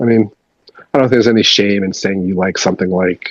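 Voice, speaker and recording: A man with a Canadian accent, fairly low in pitch, at a very fast pace with fairly even intonation, dry and close with no echo. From Canada. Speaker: punk musician and record label owner. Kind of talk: casual interview. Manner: casual, many fillers and repetitions.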